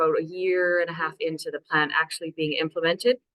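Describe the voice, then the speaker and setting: A woman with a Canadian accent, fairly low in pitch, at a fairly quick pace, in an unremarkable speaking voice. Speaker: city council climate action officer. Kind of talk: webinar presentation.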